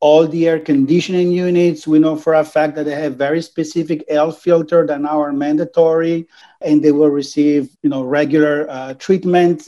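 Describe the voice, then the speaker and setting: Speaking in an Italian accent, a man with a dark, mellow tone and a fairly high voice talks at a moderate pace with hardly any pauses and monotone, flat intonation. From Italy, Venice. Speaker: travel company executive. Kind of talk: interview. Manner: halting.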